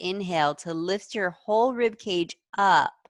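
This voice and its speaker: A woman with a normal speaking voice talks at a medium pitch with ordinary pitch variation, the sound dry and close with no echo over a quiet background. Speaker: yoga teacher. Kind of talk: guided yoga class instruction. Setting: video call class.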